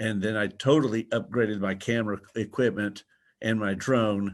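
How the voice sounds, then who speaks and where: A man's fairly low-pitched voice, an ordinary speaking voice, at a moderate pace. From Texas. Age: 60s. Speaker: drone photographer, presenter. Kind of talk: webinar presentation. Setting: video webinar from a museum.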